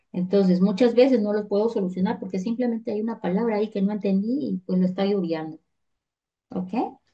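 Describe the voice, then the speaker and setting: This woman has a fairly high pitch and ordinary pitch variation. Her tone is dark and mellow, and somewhat breathy. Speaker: teacher. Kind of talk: online lecture.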